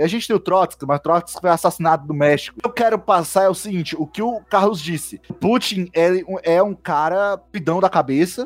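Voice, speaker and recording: A man talks in a high voice with hardly any pauses, in a dry, close sound with no echo. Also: ordinary pitch variation, moderate pace. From Brazil, Ceará (Fortaleza). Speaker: podcast host, geography undergraduate. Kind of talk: casual discussion podcast.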